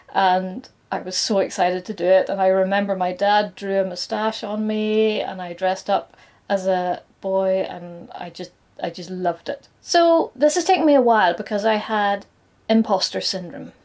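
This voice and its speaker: Ordinary pitch variation at a moderate pace in a British accent, on a very clean recording with a silent background. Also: woman, medium pitch for a woman. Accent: noticeable regional British. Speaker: nail artist and content creator. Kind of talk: scripted personal coming-out talk to camera.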